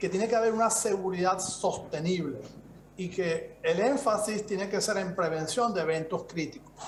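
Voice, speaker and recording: A man with a Venezuelan accent speaks at a high pitch, with audible room echo and noticeable background noise. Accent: Venezuelan-tinged Spanish. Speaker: security expert speaker. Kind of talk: conference presentation. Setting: video call.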